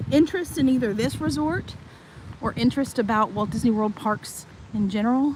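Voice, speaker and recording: Noticeable background noise runs under a woman with a Tennessee accent talking at a moderate pace. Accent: Southern US (Tennessee). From Tennessee, US South. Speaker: vlogger giving a live resort tour. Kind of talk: live-stream walking tour. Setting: outdoors, walking around a resort.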